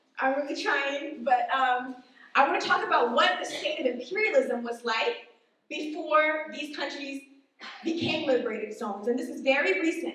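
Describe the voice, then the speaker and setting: Lively intonation from a woman at a high pitch, amid audible room echo. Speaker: activist speaker at political event. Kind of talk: presentation speech. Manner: fast.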